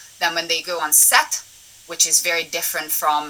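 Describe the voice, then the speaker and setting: A woman with a fairly low pitch talks at a moderate pace over noticeable background noise. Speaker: assistant director. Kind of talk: webinar talk.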